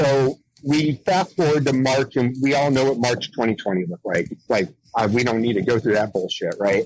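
Speaking at a medium pitch and a moderate pace, a man with an American accent has an unremarkable speaking voice and lively intonation. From San Diego, California. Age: 40s. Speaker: nonprofit founder, Navy veteran. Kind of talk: interview.

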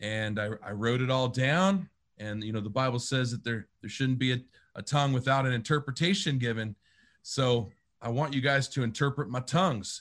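A man speaks with an unremarkable speaking voice at a medium pitch and moderate pace. His pitch varies in an ordinary way, and the background is quiet. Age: 30s. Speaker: pastor and worship leader. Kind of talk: casual interview.

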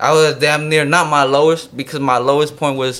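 A fairly high-pitched male voice with an American accent. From US West Coast, San Jose Bay Area. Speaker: rapper. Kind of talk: casual chat.

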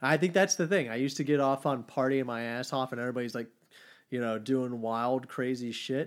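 An unremarkable speaking voice moves at a fairly quick pace with ordinary pitch variation, recorded very cleanly with a silent background. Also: man, medium pitch for a man. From Texas. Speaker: bass player. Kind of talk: casual chat. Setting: studio.

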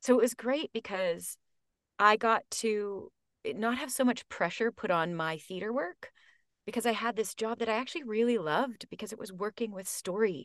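A woman's fairly high voice with ordinary pitch variation, a dry, close sound with no echo, a quiet background and an ordinary speaking voice. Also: moderate pace. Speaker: audiobook narrator and actor. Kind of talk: casual interview.

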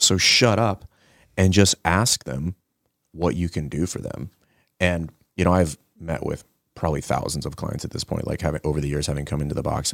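Vocal fry marks this speech, delivered at a moderate pace with ordinary pitch variation and long, frequent pauses, in a dry, close sound with no echo. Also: man, very deep, low pitch for a man. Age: 40s. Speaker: gym owner and fitness coach. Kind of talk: casual chat.

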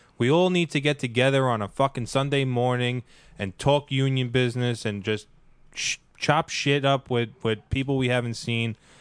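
A man's normal speaking voice at a moderate pace, fairly even intonation, dry and close sound with no echo. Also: medium pitch for a man. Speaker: financial seminar attendee and union member. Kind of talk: casual chat. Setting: studio. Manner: joking, sarcastic.

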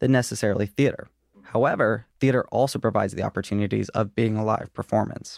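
Talking at a very fast pace, a man with an American accent has a fairly low pitch, vocal fry and fairly even intonation. The sound is dry and close, with no echo. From Richmond, Virginia. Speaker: production designer. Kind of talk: casual chat.

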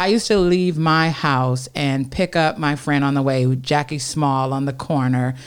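Speaking with an American accent, a woman uses a very deep, low pitch and ordinary pitch variation. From Detroit, Michigan. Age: 50s. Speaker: state legislator. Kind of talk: interview.

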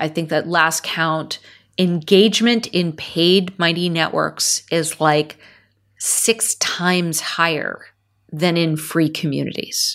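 On a very clean recording with a silent background, a woman with an American accent talks at a very slow pace, her fairly low pitch kept to fairly even intonation. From US, California (Silicon Valley). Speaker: tech founder and CEO. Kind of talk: interview.

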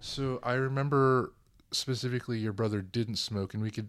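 A man's plain, everyday voice at a medium pitch and a moderate pace, with fairly even intonation, in a very clean recording with a silent background. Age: 20s. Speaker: guest, cousin of host.

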